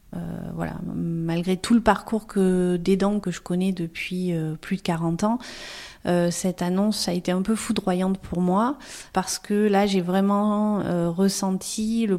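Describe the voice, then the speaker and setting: Fairly slow, monotone delivery with flat intonation and a dark, mellow tone, on a very clean recording with a silent background. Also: woman. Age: 40s. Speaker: family caregiver and social worker. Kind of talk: testimony.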